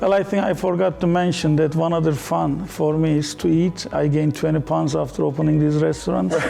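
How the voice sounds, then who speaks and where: With a Turkish accent and a fairly high pitch, a man talks at a fairly quick pace with hardly any pauses, very even loudness and ordinary pitch variation over noticeable background noise. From Turkey. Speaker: entrepreneur. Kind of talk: TV interview.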